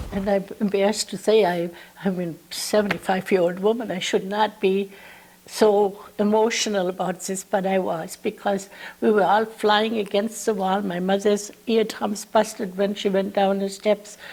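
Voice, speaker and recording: This woman talks at a medium pitch in a monotone, with flat intonation throughout. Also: moderate pace. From Germany, Mainz. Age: 70s. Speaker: war survivor. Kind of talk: lecture; testimony.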